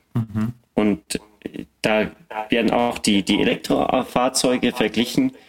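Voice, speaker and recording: Long, frequent pauses break up this man's very slow delivery. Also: medium pitch for a man, ordinary pitch variation. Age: 30s. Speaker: battery test engineer and podcaster. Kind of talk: casual expert discussion.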